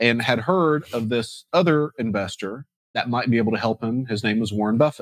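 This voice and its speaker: An unremarkable speaking voice from a man at medium pitch and moderate pace, with ordinary pitch variation, in a dry, close sound with no echo and a quiet background. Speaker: real estate investing podcast host. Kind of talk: casual chat.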